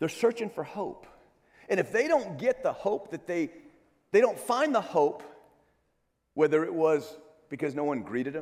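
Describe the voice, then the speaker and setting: With long, frequent pauses, a man at a high pitch swings his pitch very widely. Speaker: church security trainer. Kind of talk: conference presentation. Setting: stage with audience. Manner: fast; halting with many fillers.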